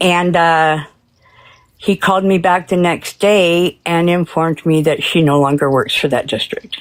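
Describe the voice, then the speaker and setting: A woman with an unremarkable speaking voice talks at a fairly slow pace and fairly low pitch, with very even loudness and fairly even intonation. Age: 60s. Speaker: caller, works with migrant kids. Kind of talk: personal story to hosts.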